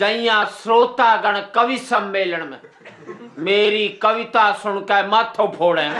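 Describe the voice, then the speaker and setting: Over noticeable background noise, a man with a Haryanvi accent uses a raised, projected voice, high in pitch with ordinary pitch variation and big swings in loudness. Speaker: comic poet. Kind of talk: comic poetry performance.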